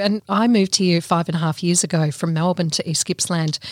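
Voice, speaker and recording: In an Australian accent, the speaker goes at a moderate pace with ordinary pitch variation, the sound dry and close with no echo. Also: woman. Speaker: small business consultant. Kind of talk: podcast interview. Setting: studio.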